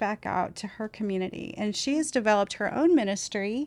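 A woman with a plain, everyday voice, fairly high in pitch with ordinary pitch variation, against a quiet background. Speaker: pregnancy clinic fundraising director. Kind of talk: casual chat.

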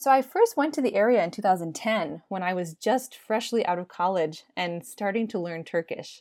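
A normal speaking voice with an American accent moves at a moderate pace with lively intonation. The recording is very clean, with a silent background. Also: woman, medium pitch for a woman. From United States. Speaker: social anthropologist. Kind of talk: interview.

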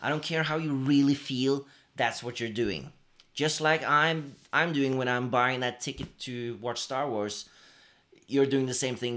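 Speaking with a Norwegian accent, a man keeps a moderate pace. His pitch is medium, with ordinary variation. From Norway. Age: 30s. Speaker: podcast co-host. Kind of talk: casual chat. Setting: living room. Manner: animated.

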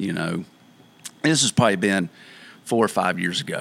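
This man's voice sits fairly low and has a bright, sharp tone. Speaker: co-host of a podcast. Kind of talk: casual conversation. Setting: studio.

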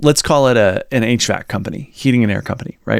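A normal speaking voice from a man at a medium pitch, with ordinary pitch variation and a fairly quick pace. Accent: American. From Virginia, US South. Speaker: podcast co-host. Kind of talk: casual chat, podcast discussion. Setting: video podcast.

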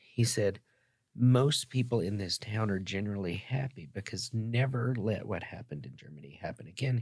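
A man with an American accent speaks at a moderate pace in a fairly low, somewhat breathy voice, with lively intonation and big swings in loudness, on a very clean recording with a silent background. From US South. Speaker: wellness company founder and philanthropist. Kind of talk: casual interview with storytelling. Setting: studio. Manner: preachy, emphatic.

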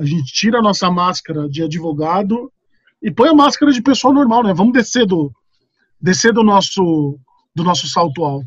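A man talks at a moderate pace in a high pitch. His pitch swings very widely. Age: 30s. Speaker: company lawyer. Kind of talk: casual interview. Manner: casual, hesitant with fillers.

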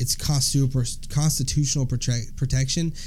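A man with a Southern US accent talks at a fairly high pitch with ordinary pitch variation. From US South. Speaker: podcast co-host. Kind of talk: casual chat.

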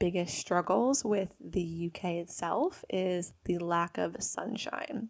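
The speaker has an animated tone and a New Jersey accent. Pitch variation is ordinary. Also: woman. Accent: New Jersey American. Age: 20s. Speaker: podcast host. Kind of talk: casual monologue.

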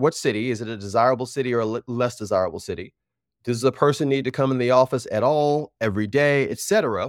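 With an American accent, a man speaks at a very fast pace and ordinary pitch variation. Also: dry, close sound with no echo. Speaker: recruiter. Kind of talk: interview. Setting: video call. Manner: casual.

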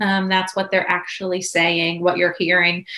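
A woman talks while noticeable noise carries on in the background. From Pennsylvania, Pittsburgh area. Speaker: speech language pathologist. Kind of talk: interview.

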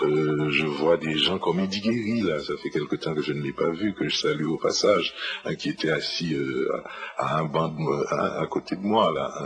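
A fairly slow pace marks this man's speech, with noticeable background noise audible. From Haiti, Port-au-Prince. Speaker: writer. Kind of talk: radio interview, life story. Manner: hesitant, many fillers (euh, hein).

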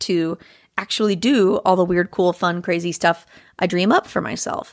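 Recorded very cleanly against a silent background, a woman talks at a moderate pace with medium pitch and fairly even intonation. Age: 30s. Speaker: folk singer-songwriter. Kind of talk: casual chat.

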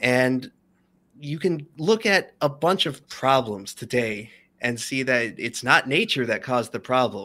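A man with a plain, everyday voice talks at a fairly slow pace with lively intonation at a medium pitch. The recording is very clean, with a silent background. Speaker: YouTube documentarian. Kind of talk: casual interview chat. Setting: live stream.

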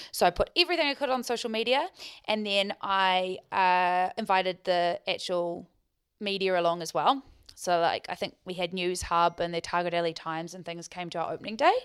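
On a very clean recording with a silent background, a woman speaks at a fairly quick pace with medium pitch and ordinary pitch variation. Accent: New Zealand. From New Zealand, Queenstown. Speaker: business owner and marketing director. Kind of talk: interview.

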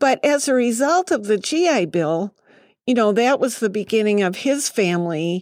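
A woman's medium-pitched voice with lively intonation, an ordinary speaking voice. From Massachusetts, New England. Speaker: city council member. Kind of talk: podcast interview. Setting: studio.

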